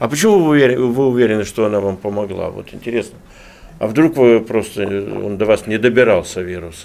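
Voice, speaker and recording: A man has an ordinary speaking voice, medium in pitch with ordinary pitch variation. He talks at a fairly quick pace. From Russian Far East, Khabarovsk. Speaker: newspaper editor-in-chief, interviewer. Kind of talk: radio interview. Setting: studio.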